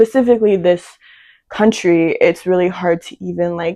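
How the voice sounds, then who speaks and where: Against a quiet background, a woman speaks at a fairly slow pace. Her medium-pitched voice has a dark, mellow tone. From Arkansas. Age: 20s. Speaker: YouTuber. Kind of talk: casual Q&A vlog. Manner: casual, filler-heavy.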